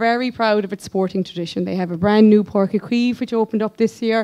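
With a Kerry accent, a woman speaks at a fairly high pitch with ordinary pitch variation. The background is quiet. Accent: Irish, Kerry. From Ireland, County Kerry; Ireland. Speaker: physiotherapist. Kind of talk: conference presentation. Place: hall. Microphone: podium.

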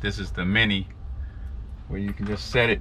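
Faint music sits in the background as the speaker goes at a moderate pace. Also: man. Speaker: truck driver vlogger. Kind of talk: casual vlog chat. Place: open country. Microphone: lapel.

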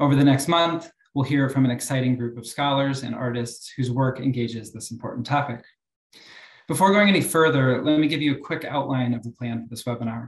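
A man talks at a fairly quick pace in a somewhat breathy voice with ordinary pitch variation. Audible room echo surrounds him against a quiet background. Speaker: academic moderator. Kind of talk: moderating a webinar. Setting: video call. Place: office. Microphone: webcam.

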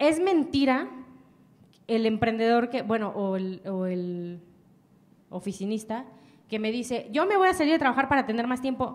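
An animated woman's voice with very wide pitch swings and long, frequent pauses. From Mexico. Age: 20s. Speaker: entrepreneur; speaker. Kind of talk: motivational talk. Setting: stage with audience. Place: hall. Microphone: handheld.

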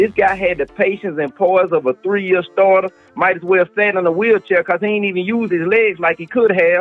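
Faint music plays behind a man who speaks at a moderate pace in a high voice with fairly even intonation. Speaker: remote guest commentator. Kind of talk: interview answer. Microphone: phone line.

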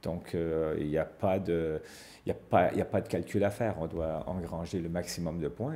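The intonation stays fairly even throughout. The tone is dark and mellow. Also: man. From Quebec. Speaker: ice hockey coach. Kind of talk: TV sports interview.

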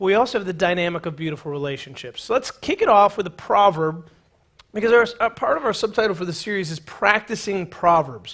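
A man's high-pitched voice at a very fast pace, lively intonation, and a quiet background. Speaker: pastor. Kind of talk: sermon. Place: church. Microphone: headset.

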